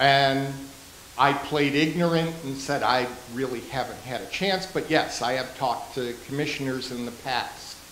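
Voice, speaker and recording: Heard with audible room echo and light background noise, a man speaks at a moderate pace with a fairly high pitch and fairly even intonation. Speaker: local business owner. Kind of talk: public presentation. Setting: town council meeting. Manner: loud. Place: meeting room. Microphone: handheld.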